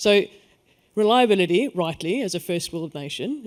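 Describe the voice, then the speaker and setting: A man speaks with a South African accent. His pitch is high and his pace moderate. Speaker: energy network executive. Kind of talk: panel discussion.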